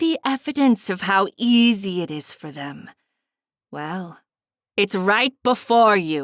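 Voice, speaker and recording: Using a put-on character voice, a woman talks at a medium pitch and a fairly slow pace, leaving long, frequent pauses. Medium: read story. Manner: commanding, theatrical.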